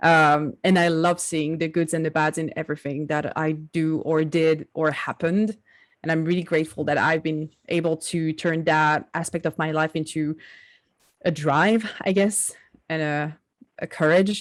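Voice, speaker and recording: A woman with a French accent speaks at a moderate pace in a flat, monotone way, her pitch very deep and low, on a very clean recording with a silent background. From southern France. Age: 20s. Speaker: digital artist. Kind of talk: interview.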